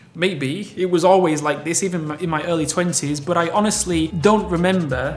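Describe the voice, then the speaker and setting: Music plays in the background as a man with a British accent speaks in a high pitch. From UK. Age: 30s. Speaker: fitness YouTuber. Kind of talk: casual Q&A vlog.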